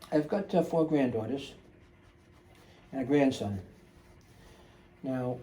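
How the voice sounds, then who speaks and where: Speaking at a fairly slow pace, a man with a fairly high pitch uses lively intonation and sounds somewhat breathy. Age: 60s. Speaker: drummer restoring a drum set. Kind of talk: casual how-to narration. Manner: relaxed, many filler uhs.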